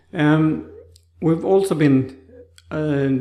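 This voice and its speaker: This man's voice is fairly high-pitched, with a dark, mellow tone and a Swedish accent. He speaks very slowly, with fairly even intonation. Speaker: stroke survivor vlogger. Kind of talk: personal vlog talk. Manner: halting, with many restarts.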